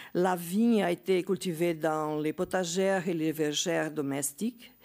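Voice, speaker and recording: On a very clean recording with a silent background, a woman with a Portuguese accent speaks at a very slow pace and fairly low pitch, with ordinary pitch variation. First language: Portuguese (speaking French). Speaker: geography professor. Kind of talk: conference talk. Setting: conference with audience. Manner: halting, many hesitations.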